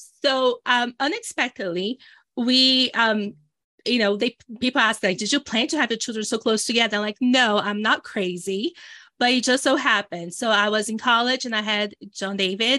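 A woman in a Brazilian accent, fairly high in pitch with ordinary pitch variation and a bright, sharp tone, at a moderate pace, with a dry, close sound with no echo against a quiet background. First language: Portuguese. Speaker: entrepreneur and business coach. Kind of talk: casual conversational interview. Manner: animated.

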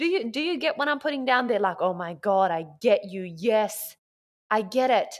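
On a very clean recording with a silent background, a woman speaks at a moderate pace in a fairly high pitch, with very wide pitch swings and an animated, passionate tone. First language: not English. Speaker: business mentor and podcaster. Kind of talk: solo motivational monologue. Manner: animated, passionate, expressive.

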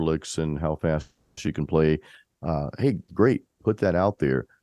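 A man's very deep, low-pitched voice. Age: 40s. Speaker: podcast host, metal musician. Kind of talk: casual chat; sales pitch.

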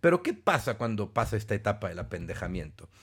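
A man with a Mexican accent speaks in an animated tone at a moderate pace, his intonation lively and his voice somewhat breathy. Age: 40s. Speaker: podcast host and personal development speaker. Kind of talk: casual monologue.

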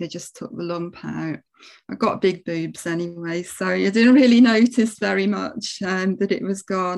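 Against a quiet background, a woman with an English accent speaks at a moderate pace. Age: 50s. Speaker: palliative care nurse. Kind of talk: casual chat. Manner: halting.

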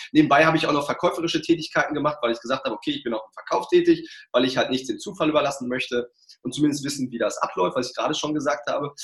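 A man speaks at a very fast pace with an energetic tone. His loudness swings widely. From Ruhr area, Germany. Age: 40s. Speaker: sales trainer and coach. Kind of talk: interview.

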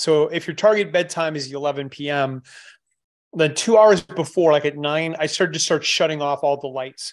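A man with an unremarkable speaking voice talks at a moderate pace in a fairly high pitch with ordinary variation. The background is quiet. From Canada. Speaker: supplement formulator and strength coach. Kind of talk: podcast interview.

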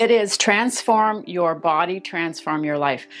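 Music plays behind the voice. Its intonation is lively. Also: woman. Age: 50s. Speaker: weight loss vlogger. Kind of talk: monologue to camera.

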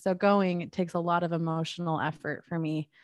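In a very clean recording with a silent background, a woman with a normal speaking voice talks at a fairly low pitch. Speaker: photographer. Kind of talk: casual conversation.

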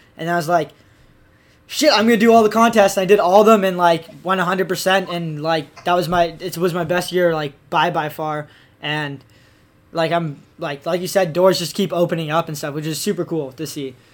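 A man's high-pitched voice holds a fairly even intonation. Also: moderate pace. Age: 20s. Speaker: podcast host, freestyle skier. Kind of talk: casual chat, interview. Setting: studio. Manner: casual, slangy, fillers.

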